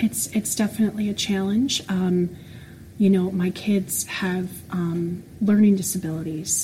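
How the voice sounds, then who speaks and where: Noticeable background noise sits behind a woman speaking at medium pitch. She goes at a fairly slow pace with fairly even intonation. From Florida. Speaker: special education teacher. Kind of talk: casual interview.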